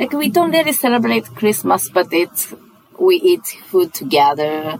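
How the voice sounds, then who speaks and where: Over noticeable background noise, a woman speaks with a Japanese accent. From Japan, Sapporo. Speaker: chef. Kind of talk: casual chat. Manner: halting.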